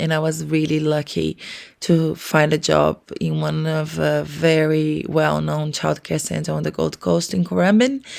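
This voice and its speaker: A woman talks at a fairly slow pace. The recording is very clean, with a silent background. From Brazil. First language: Portuguese. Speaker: early childhood educator and podcast co-host. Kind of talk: casual podcast introduction.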